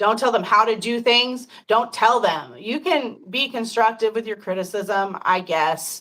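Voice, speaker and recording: The voice has a bright, sharp tone, a fairly slow pace, ordinary pitch variation, and hardly any pauses. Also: woman, fairly high pitch for a woman. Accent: American. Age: 50s. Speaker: podcast host. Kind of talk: casual chat.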